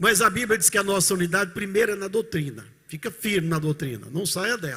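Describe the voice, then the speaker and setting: A man's raised, projected voice comes through with a bright, sharp tone. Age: 70s. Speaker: pastor. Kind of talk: sermon. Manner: animated.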